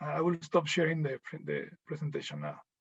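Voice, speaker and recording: A man with a Mexican accent speaks at a moderate pace and a fairly high pitch. Vocal fry runs through his voice. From Mexico. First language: Spanish. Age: 30s. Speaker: visual artist. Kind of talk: portfolio presentation. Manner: halting, many fillers and repeats.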